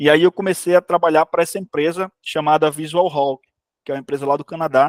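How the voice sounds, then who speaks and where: A man speaks at a fairly high pitch with ordinary pitch variation. The sound is dry and close, with no echo. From Brazil, Ceará (Areia Branca). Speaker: game developer, studio CEO. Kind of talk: informal talk to students. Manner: fast.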